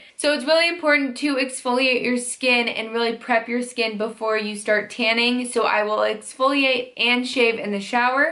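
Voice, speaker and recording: With hardly any pauses, a woman speaks at a moderate pace in a high pitch and fairly even intonation. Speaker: beauty vlogger. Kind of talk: casual vlog tutorial. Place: home room.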